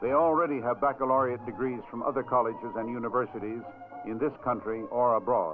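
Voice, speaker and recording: A man's medium-pitched voice at a fairly quick pace, with ordinary pitch variation and music in the background. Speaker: newsreel-style narrator and host. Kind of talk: promotional film narration, newsreel style.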